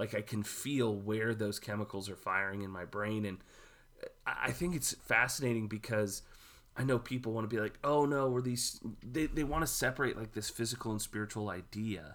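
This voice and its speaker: Heard on a very clean recording with a silent background, a man with an American accent has an unremarkable speaking voice, medium pitch, ordinary pitch variation and a moderate pace. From Houston, Texas. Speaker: pastor. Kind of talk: casual chat.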